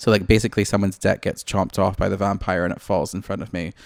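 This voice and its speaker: Speaking with a Scottish accent, a man uses a fairly low pitch and fairly even intonation in a very clean recording with a silent background. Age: 20s. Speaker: podcast co-host. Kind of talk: casual chat.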